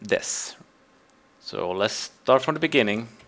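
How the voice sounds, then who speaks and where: A man with a non-native accent speaks very slowly in a bright, sharp tone with lively intonation. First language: Swedish. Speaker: game server admin. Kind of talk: tutorial. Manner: halting.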